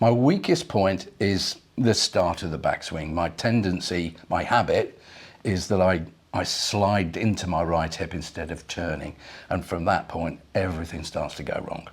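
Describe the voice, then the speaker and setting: A man speaks with an English accent at a fairly slow pace. His pitch is very deep and low, with ordinary variation. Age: 60s. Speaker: amateur golfer. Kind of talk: casual chat. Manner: halting.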